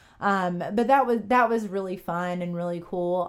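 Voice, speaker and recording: With a Southern US accent, a woman speaks at a fairly slow pace using fairly even intonation. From US South, upstate South Carolina. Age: 30s. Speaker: sports podcast host. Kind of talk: casual chat. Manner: hesitant, many fillers.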